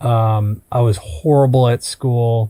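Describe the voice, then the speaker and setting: A man with an Upper Midwest accent talks at a very slow pace, keeping a medium pitch and fairly even intonation. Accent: Upper Midwest American. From US Midwest, Minnesota. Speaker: entrepreneur. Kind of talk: podcast interview.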